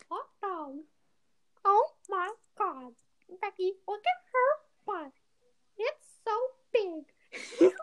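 At a very slow pace with long, frequent pauses, this put-on character voice sits at an extremely high pitch.

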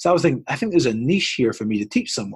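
With an American accent, a man speaks at a medium pitch, somewhat breathy, his intonation lively. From Scotland. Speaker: basketball coach and trainer. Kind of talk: podcast interview.

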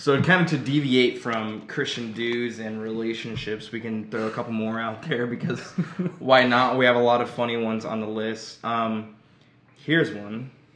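A man with an American accent at medium pitch, moderate pace and fairly even intonation, amid noticeable background noise and audible room echo. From Missouri, Joplin. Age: 20s. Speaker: podcast host, ministry student. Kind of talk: casual chat.

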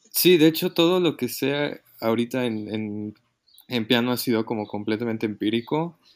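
With ordinary pitch variation, a man speaks at a medium pitch and a moderate pace. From Mexico City. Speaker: musician. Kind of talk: casual chat. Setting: remote recording from home. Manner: halting.

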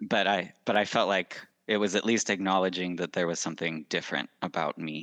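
A man with a Western US accent speaks at a fairly quick pace in a very deep, low pitch, his intonation fairly even. The sound is dry and close with no echo, and the background is quiet. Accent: American (Western US). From Utah. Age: 20s. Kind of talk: interview.

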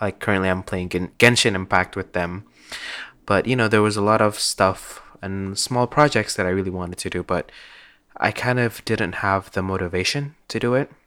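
At a moderate pace, a man speaks with a fairly low pitch and ordinary pitch variation in a very clean recording with a silent background. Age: 20s. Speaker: solo podcaster, university student. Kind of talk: casual personal monologue. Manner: halting, many fillers.

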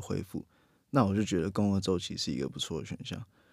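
A dark, mellow tone with ordinary pitch variation in a very clean recording, silent background. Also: man. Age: 20s. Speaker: strength and weightlifting coach. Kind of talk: casual chat.

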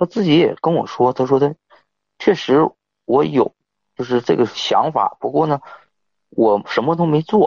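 A man's fairly slow speech with lively intonation and long, frequent pauses. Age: 30s. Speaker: caller. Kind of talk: phone-in advice call. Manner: halting.

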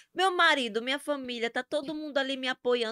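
A woman talks at a very fast pace. The sound is dry and close, without echo. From Brazil, Sergipe (Northeast). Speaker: social media influencer. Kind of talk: casual interview chat. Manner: animated.

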